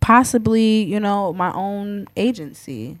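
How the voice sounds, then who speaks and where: On a very clean recording with a silent background, a woman speaks with a New York accent. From Queens, New York. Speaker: DJ. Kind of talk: casual chat.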